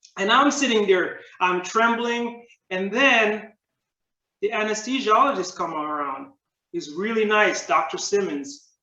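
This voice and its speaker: A man speaks in a raised, projected voice at a fairly slow pace. His pitch is high and swings very widely. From Jamaica. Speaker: public speaking club member. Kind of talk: prepared speech.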